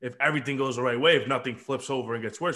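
Against a quiet background, a bright, sharp voice rushes along at a very fast pace. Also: man. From Dominican Republic. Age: 20s. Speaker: podcast host. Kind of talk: casual chat. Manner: animated.

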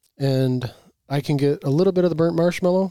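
The tone is dark and mellow. The pace is very fast. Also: man. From Michigan, US. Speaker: podcast co-host, bourbon reviewer. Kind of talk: casual chat, tasting review. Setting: home basement.

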